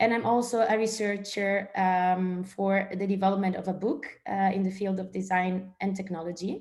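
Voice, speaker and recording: A woman with an Italian accent, a medium pitch and monotone, flat intonation, at a moderate pace with hardly any pauses. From northern Italy, small village. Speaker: strategic and service designer. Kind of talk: guest presentation in online training session. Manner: hesitant, many fillers.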